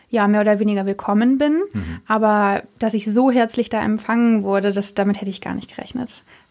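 A woman's fairly high voice has a dark, mellow tone, moving at a moderate pace with monotone, flat intonation. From Germany, Cologne. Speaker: journalism intern. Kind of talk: interview.

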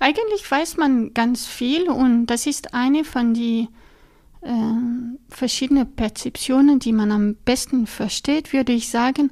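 A woman's high voice at a very slow pace, with ordinary pitch variation. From French-speaking Switzerland, Lausanne. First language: French (speaking German). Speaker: neuroscientist. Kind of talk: interview. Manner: halting, frequent fillers.

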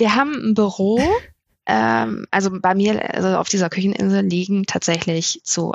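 Her pitch sits in the medium range for a woman but swings very widely. Her loudness stays very even. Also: moderate pace. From northern Germany, Melle near Osnabrück. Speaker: family and wedding photographer. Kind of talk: casual chat. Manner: hesitant, many filler sounds.

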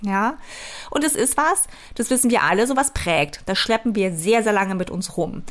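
A woman speaks in an animated, enthusiastic tone at a moderate pace, her fairly high pitch moving in lively intonation. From East Germany. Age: 40s. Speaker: life and business coach, podcast host. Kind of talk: motivational solo podcast monologue. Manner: animated, enthusiastic, laughs often.

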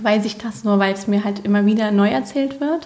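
A woman speaks at a moderate pace in a medium pitch, with noticeable background noise behind her. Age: 30s. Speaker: leukemia survivor and social media expert. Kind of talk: casual interview chat. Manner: animated.

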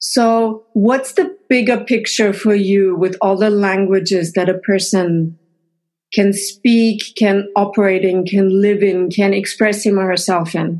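Speaking at a fairly slow pace, a woman with a medium-pitched voice has a German accent. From Austria. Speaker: linguist and podcast host. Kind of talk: casual interview. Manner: animated.

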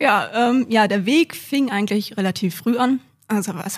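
Recorded very cleanly against a silent background, a woman speaks with an unremarkable speaking voice at medium pitch and with fairly even intonation. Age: 20s. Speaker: IT professional and apprentice trainer. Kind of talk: interview.

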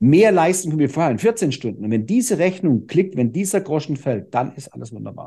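With a dark, mellow tone, a man speaks at a fairly quick pace in a fairly high, somewhat breathy voice that makes very wide pitch swings. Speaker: fitness trainer and speaker. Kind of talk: podcast interview. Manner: calm.

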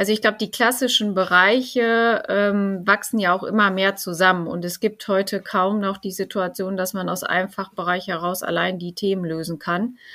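A woman talks at a moderate pace with hardly any pauses, her pitch medium. Her tone is bright and sharp, and her intonation fairly even. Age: 40s. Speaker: finance executive. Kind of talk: interview. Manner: hesitant with frequent fillers.

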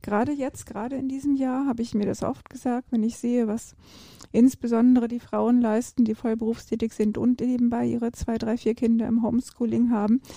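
A woman with a fairly high pitch and a dark, mellow tone talks at a fairly quick pace in a monotone, flat delivery. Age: 50s. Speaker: ultra and trail runner, business manager. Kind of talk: casual interview. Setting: podcast recording.

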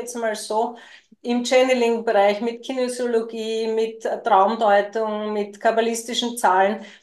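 Her pitch is fairly high for a woman. She speaks at a fairly slow pace in a monotone, flat intonation. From Lower Austria. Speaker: podcast co-host and spiritual coach. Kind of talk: personal storytelling in casual chat.

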